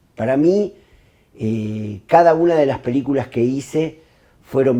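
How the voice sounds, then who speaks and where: A man's dark, mellow tone with lively intonation at a fairly slow pace. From Argentina. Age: 60s. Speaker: film director. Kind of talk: interview monologue. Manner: hesitant, many fillers.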